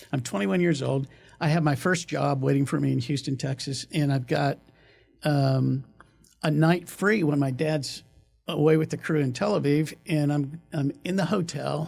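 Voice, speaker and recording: Music plays behind a man speaking at a moderate pace in a fairly high pitch. His loudness stays very even, and his pitch varies in an ordinary way. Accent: American. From Kansas. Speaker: orthodontic practice valuation consultant. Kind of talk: podcast interview storytelling.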